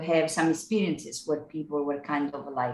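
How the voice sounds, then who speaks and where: The speaker is a woman with an Italian accent. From Italy (Naples). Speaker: singer-songwriter. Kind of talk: casual chat.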